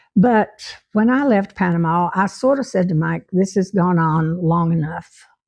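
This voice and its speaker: Against a quiet background, a woman with a Southern US accent speaks at a fairly slow pace. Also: medium pitch for a woman, ordinary pitch variation, hardly any pauses. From Tennessee. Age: 90s. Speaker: retired teacher. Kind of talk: life story narration.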